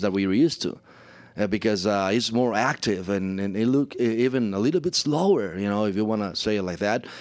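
Very fast speech with a Spanish accent and ordinary pitch variation. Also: man. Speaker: play-by-play announcer. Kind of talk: interview. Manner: halting.

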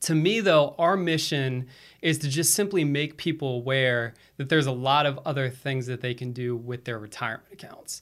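A man with an ordinary speaking voice, fairly high-pitched, at a moderate pace with ordinary pitch variation. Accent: American. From Florida, US East Coast. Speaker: financial services executive. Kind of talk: podcast interview.

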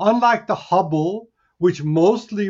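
A man speaks at a fairly slow pace in a passionate, enthusiastic tone with lively intonation. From Hungary. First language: Hungarian. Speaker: astronomy professor. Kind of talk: news interview.

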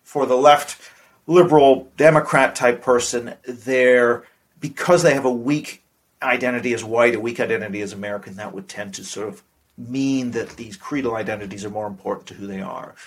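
Swinging widely in loudness, a man with a plain, everyday voice talks at a fairly quick pace in a medium pitch with ordinary pitch variation. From Canada (Vancouver), partly raised abroad. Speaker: politics professor. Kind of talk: interview.

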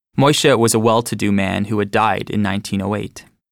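On a very clean recording with a silent background, a man uses a normal speaking voice at a fairly quick pace. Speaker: audiobook narrator. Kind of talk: reading aloud.

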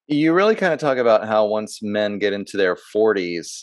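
Against a quiet background, a man with an unremarkable speaking voice talks at a fairly low pitch with ordinary pitch variation. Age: 40s. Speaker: podcast host. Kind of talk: interview conversation; scripted introduction.

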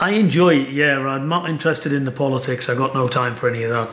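Amid noticeable background noise and audible room echo, a man talks very fast at a medium pitch with ordinary pitch variation. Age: 50s. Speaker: boxing trainer. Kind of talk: interview.

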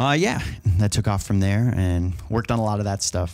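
Here is a man with an ordinary speaking voice, fairly low in pitch with ordinary pitch variation. He speaks at a fairly quick pace on a very clean recording with a silent background. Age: 20s. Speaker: mixing engineer. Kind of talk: casual chat. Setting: hotel room at a trade show.

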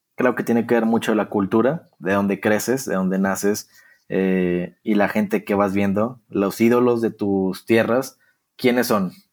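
A man with a medium pitch talks at a fairly slow pace and with fairly even intonation. It is an ordinary speaking voice. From Mexico, Torreón, Coahuila. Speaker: social media content creator for a football club. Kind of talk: interview.

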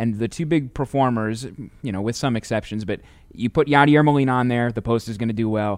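Very fast and medium-pitched, a man with a Midwestern American accent talks with ordinary pitch variation against a quiet background. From St. Louis, Missouri, US Midwest. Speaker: podcast host for a baseball team. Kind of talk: interview. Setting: stadium studio.

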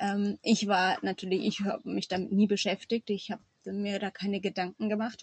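At a moderate pace, a woman speaks at a medium pitch in a somewhat breathy voice with monotone, flat intonation. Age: 30s. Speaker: farmer and mother. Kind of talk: interview.

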